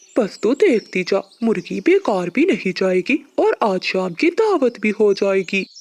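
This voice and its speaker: A cartoonish character voice at fairly high pitch moves at a fairly slow pace with hardly any pauses. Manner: boastful, scheming.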